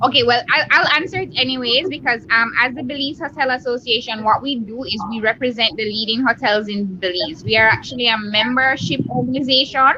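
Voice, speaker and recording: The speaker has a Jamaican accent and a fairly quick pace with hardly any pauses. Pitch varies in an ordinary way over noticeable background noise. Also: woman, high pitch for a woman. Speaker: hotel association representative. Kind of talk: interview on video chat. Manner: enthusiastic.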